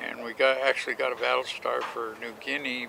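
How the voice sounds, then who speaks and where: A man is speaking. Noticeable background noise runs beneath his voice. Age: 80s+. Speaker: war veteran. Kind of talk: interview answer.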